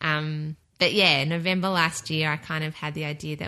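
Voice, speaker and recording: Against a quiet background, a woman with an Australian accent speaks at a moderate pace in a very deep, low pitch, her tone bright and sharp and her intonation flat and monotone. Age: 30s. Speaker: podcast network producer. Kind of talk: casual chat.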